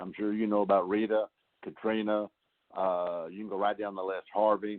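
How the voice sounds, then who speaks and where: A man speaks with fairly low pitch. His intonation is monotone and flat. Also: moderate pace. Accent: Southeast Texas. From Texas Gulf Coast. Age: 60s. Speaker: congressman. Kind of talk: telephone town hall answers. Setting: phone call.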